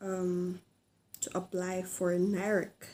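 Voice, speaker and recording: A woman with a Filipino accent speaks very slowly in a medium-pitched, dark, mellow voice with monotone, flat intonation. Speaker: vlogger. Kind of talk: informational vlog. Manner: halting, many fillers.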